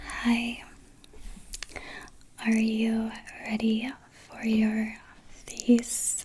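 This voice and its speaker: Soft-spoken and somewhat breathy, a woman talks very slowly in a gentle tone at a fairly high pitch. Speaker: ASMR artist. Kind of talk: ASMR roleplay face exam, personal attention. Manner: soft-spoken, gentle, calming.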